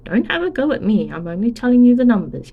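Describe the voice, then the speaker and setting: A put-on character voice from a woman, high-pitched and very fast. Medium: read story. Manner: careful.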